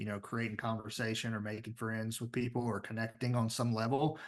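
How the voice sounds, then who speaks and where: The background stays quiet. A man talks in a Southern US accent. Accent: Southern US drawl. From US South, Tennessee. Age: 30s. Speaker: business founder and CEO. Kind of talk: podcast interview.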